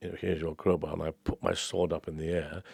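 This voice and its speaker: A man at a very fast pace, with a dry, close sound with no echo and a quiet background. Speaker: opera singer. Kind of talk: interview answer.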